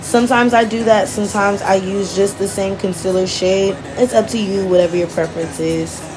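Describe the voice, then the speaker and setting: Music plays in the background. The speech moves at a fairly quick pace with fairly even intonation and hardly any pauses. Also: woman, medium pitch for a woman. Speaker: beauty vlogger. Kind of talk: makeup tutorial. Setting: voiceover. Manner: casual, chatty.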